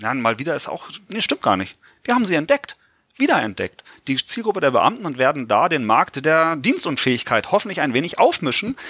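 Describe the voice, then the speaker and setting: A man's bright, sharp tone with vocal fry, fairly high in pitch, with very wide pitch swings and a fairly quick pace, in a dry, close sound with no echo. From Lower Saxony, Germany (Göttingen). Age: 40s. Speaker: insurance pension expert. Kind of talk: podcast interview.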